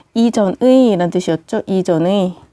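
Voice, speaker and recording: On a very clean recording with a silent background, a woman with a dark, mellow tone speaks at a fairly slow pace, the sound dry and close with no echo. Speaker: English teacher. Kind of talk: lecture.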